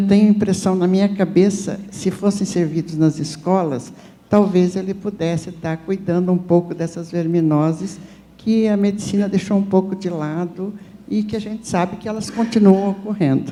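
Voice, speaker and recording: The tone is dark and mellow. Delivery comes at a moderate pace. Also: woman, medium pitch for a woman, fairly even intonation. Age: 70s. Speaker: audience member. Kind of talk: audience question at panel. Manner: halting.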